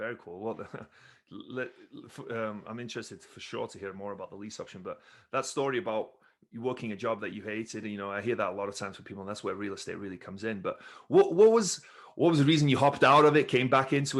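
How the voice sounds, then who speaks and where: Very fast and energetic, a man's delivery shows big swings in loudness. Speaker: podcast host, former wrestler. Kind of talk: interview.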